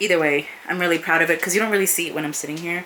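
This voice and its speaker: With noticeable background noise, a woman speaks very fast at a fairly low pitch. Her intonation is fairly even. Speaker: booktuber. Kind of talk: casual vlog, bookshelf tour. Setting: home office.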